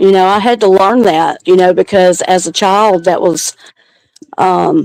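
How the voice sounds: A woman speaks at a fairly low pitch and a fairly slow pace, with ordinary pitch variation and a slightly mellow tone. Her voice carries vocal fry in a dry, close sound with no echo.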